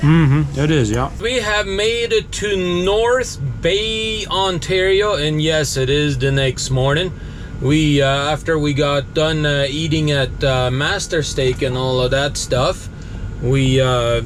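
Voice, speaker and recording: Amid noticeable background noise and audible room echo, a man with a fairly high pitch speaks at a very slow pace, with very even loudness and lively intonation. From South America, German Mennonite community. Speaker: truck driver vlogger. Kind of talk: vlog narration; casual chat.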